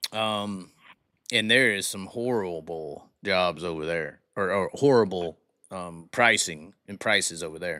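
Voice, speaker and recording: With a Southern US accent, a man speaks at a fairly slow pace in a very deep, low pitch, his tone bright and sharp, his loudness swinging widely and his pitch varying in an ordinary way. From US South. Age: 30s. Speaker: live-stream host. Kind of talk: casual chat with caller.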